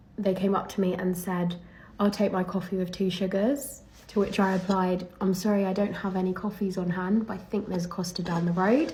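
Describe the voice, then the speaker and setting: Speaking at a fairly quick pace with an English accent, a woman has a somewhat breathy, dark, mellow tone, a medium pitch, and monotone, flat intonation, with audible room echo. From England. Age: young. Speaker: professional golfer. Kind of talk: casual vlog monologue.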